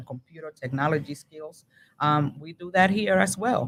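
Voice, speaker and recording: A woman speaks with a Spanish accent at a moderate pace. Her voice is very deep and low, with lively intonation. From Dominican Republic. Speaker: library regional manager. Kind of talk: interview. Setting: public library.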